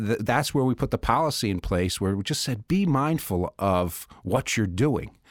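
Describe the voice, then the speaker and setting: On a very clean, silent-background recording with a dry, close sound and no echo, a man in a normal speaking voice talks at medium pitch and a moderate pace, with lively intonation and hardly any pauses. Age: 50s. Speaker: managing partner of a law firm. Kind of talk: casual chat. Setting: studio.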